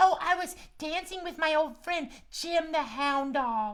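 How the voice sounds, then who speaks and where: A put-on character voice, high-pitched and fairly slow. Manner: cute, playful.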